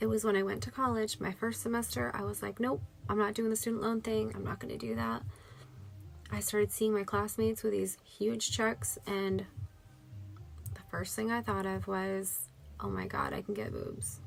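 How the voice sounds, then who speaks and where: Music playing behind a woman's moderately paced speech. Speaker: vlogger sharing health experience. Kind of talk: personal testimony. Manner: halting.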